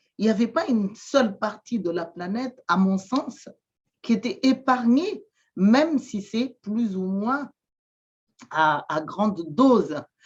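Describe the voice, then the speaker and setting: Someone speaks at a very slow pace in a Malagasy accent, somewhat breathy, with long, frequent pauses. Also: woman, fairly high pitch for a woman, lively intonation. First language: Malagasy (speaking French). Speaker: shaman and therapist. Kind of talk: interview testimony. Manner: halting, many hesitations and repetitions.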